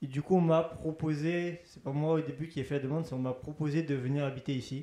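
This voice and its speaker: Fairly quick and monotone, with flat intonation, the voice has a dark, mellow tone and big swings in loudness. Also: man, fairly high pitch for a man. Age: 20s. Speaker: student resident. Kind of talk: interview.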